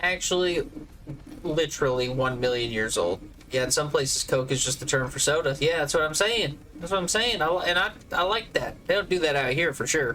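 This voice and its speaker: A man with an American accent speaks at a fairly quick pace and a fairly high pitch. His intonation is lively, and there is noticeable background noise. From US South, Georgia. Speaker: video game streamer. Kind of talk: casual chat during live game stream. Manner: animated.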